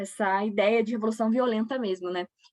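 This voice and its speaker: In an unremarkable speaking voice, a woman talks at a moderate pace with fairly high pitch and fairly even intonation. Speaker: history teacher. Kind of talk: lecture.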